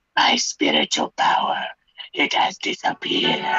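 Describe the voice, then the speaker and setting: An extremely high, raspy put-on character voice. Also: moderate pace. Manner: villainous.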